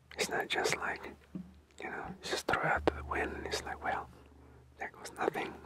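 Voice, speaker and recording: A man whispers at a moderate pace, stopping often for long pauses. Noticeable background noise runs under his voice. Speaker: spiritual motivational speaker. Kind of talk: spiritual motivational talk. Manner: whispered.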